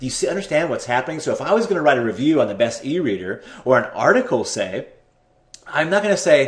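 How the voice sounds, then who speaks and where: A man speaks with very wide pitch swings. His voice is somewhat breathy. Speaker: internet marketing tutor. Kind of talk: screen-share tutorial. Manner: fast; hesitant, repeats words.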